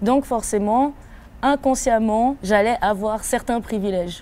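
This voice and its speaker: A woman with a slight West African accent speaks at a moderate pace in a dark, mellow tone, her fairly high pitch showing ordinary variation. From Ivory Coast, then Switzerland. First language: African language (speaking French). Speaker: rapper. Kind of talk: interview. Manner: hesitant, many fillers.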